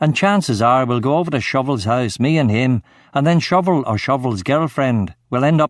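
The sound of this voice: The speaker reads in an unforced voice.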